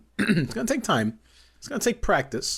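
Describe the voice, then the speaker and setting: Noticeable background noise behind a man's voice, its pitch swinging very widely, its pace moderate. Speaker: podcast co-host. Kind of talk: casual chat. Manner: excited, upbeat cadence.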